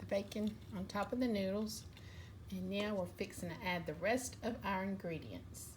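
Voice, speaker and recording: A woman with a Southern US accent at a moderate pace, plus audible room echo. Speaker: cooking vlogger. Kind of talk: cooking tutorial. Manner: casual, chatty.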